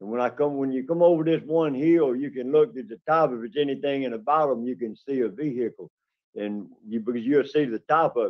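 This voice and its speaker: The voice carries a Southern US accent, ordinary pitch variation and big swings in loudness. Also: man, fairly high pitch for a man. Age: 60s. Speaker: parole applicant. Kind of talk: parole hearing testimony. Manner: halting.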